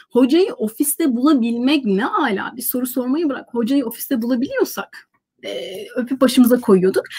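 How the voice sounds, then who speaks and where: Against a quiet background, a woman with a high voice talks at a moderate pace with lively intonation. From Turkey. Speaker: university lecturer. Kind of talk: casual chat. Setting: video call. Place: home room. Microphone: webcam.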